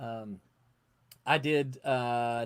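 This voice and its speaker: Speaking in a Southern US accent, a man keeps his intonation fairly even. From US South. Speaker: comic book editor and publisher. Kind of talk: casual chat.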